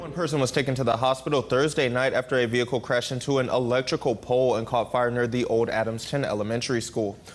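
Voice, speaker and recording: Over noticeable background noise, a man talks at a very fast pace with hardly any pauses, a medium pitch and fairly even intonation. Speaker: TV news anchor and reporter. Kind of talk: broadcast news delivery.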